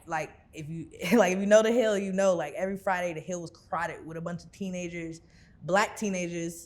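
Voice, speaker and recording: A woman speaks with an American accent in a fairly low voice with fairly even intonation. Hers is an unremarkable speaking voice, with big swings in loudness. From Houston area, Texas (Missouri City). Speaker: rapper and singer. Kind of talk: interview. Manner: casual, filler-heavy.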